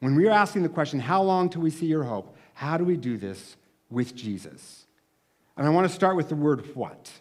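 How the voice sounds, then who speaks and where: A man speaks at a moderate pace in a normal speaking voice, fairly high in pitch, with lively intonation. The recording is very clean, with a silent background. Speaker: camp speaker / pastor. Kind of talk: sermon.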